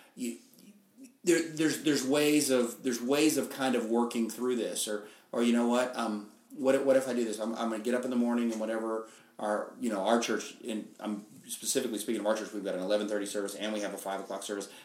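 The intonation stays fairly even at a very fast pace. Room echo is audible. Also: man, medium pitch for a man. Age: 50s. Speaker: pastor. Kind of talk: casual interview. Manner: halting, many fillers.

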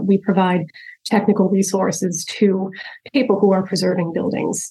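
Speaking at a moderate pace with an American accent, a woman has a plain, everyday voice at a medium pitch. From upstate New York. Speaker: structural engineer. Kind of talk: interview.

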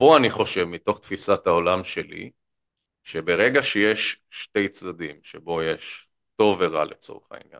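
Against a quiet background, a man with a fairly low pitch speaks at a very slow pace in a dry, close sound with no echo. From central Israel. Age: 30s. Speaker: political economy commentator. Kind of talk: interview. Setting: studio. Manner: energetic; frequent fillers and repetitions.

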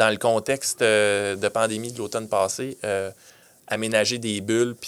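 Using a normal speaking voice, a man talks with fairly even intonation. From Quebec (Granby). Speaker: city events manager. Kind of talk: interview. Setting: studio.

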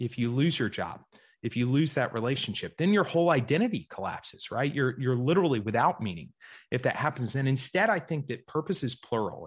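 Over a quiet background, a man with an American accent talks at a fairly quick pace, somewhat breathy at a medium pitch, with lively intonation. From US South, Georgia. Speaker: investor and writer. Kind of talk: interview.

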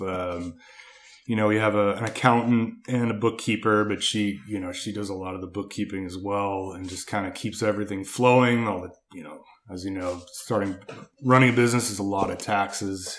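In a very clean recording with a silent background, a man with an unremarkable speaking voice talks at a fairly low pitch and moderate pace, his intonation fairly even but his loudness swinging widely. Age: 30s. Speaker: landscape contractor. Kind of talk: casual interview chat.

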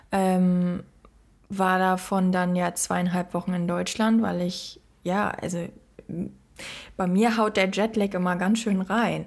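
The very clean recording, with its silent background, captures a woman speaking at a very slow pace. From Germany. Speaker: podcast co-host. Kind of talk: casual chat.

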